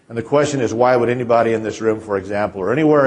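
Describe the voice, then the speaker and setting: A man's medium pitch with ordinary pitch variation. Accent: Kansas. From central Kansas. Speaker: feedyard owner and consultant. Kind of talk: conference presentation. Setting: stage with audience. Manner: halting, many repetitions.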